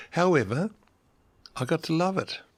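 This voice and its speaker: In an Australian accent, a man speaks somewhat breathily at a fairly slow pace on a very clean recording with a silent background. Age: 70s. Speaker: interviewee in documentary portrait. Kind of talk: personal testimony.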